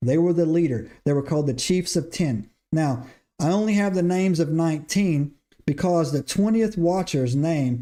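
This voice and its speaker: On a very clean recording with a silent background, a man with a Southern accent and a dark, mellow tone talks at a moderate pace, fairly high in pitch, with ordinary pitch variation. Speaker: podcast host. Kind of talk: livestream lecture on scripture. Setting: live stream. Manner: repetitive filler 'right?', stumbling.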